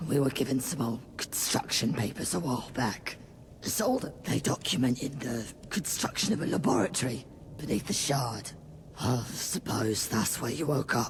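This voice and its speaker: Putting on a raspy character voice, a man speaks at a medium pitch and a moderate pace with lively intonation over clear background noise. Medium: video game. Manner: firm.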